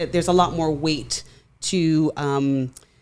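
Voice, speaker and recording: A woman with a Jamaican accent speaks fairly slowly in a very deep, low voice with monotone, flat intonation, in a very clean recording over a silent background. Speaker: urogynecologist. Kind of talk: podcast interview. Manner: many filler words.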